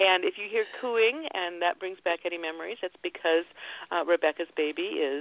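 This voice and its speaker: A woman with a plain, everyday voice speaks at a fairly low pitch and a moderate pace, using ordinary pitch variation. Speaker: radio show host. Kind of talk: casual chat.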